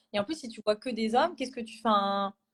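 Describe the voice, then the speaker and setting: Her speech comes at a very fast pace. This woman has a fairly high pitch and ordinary pitch variation. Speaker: chartered accountant trainee. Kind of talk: live stream panel discussion. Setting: Instagram live video call. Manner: loud; hesitant with many fillers.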